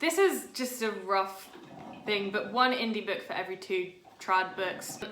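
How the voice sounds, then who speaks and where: At a fairly slow pace, a woman speaks in a British accent. Her pitch is medium, with ordinary pitch variation. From Britain. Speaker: writer and video blogger. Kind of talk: casual vlog monologue.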